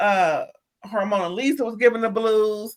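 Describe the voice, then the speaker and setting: A woman speaks at a fairly slow pace in an animated tone, her fairly high pitch moving with ordinary variation. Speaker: drag show review host. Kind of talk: casual review chat.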